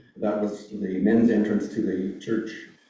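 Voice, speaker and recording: A man talks at a fairly low pitch in a monotone, flat intonation. He goes at a fairly slow pace, with audible room echo. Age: 70s. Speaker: church elder. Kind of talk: reminiscence speech. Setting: church service with audience. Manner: halting, many fillers.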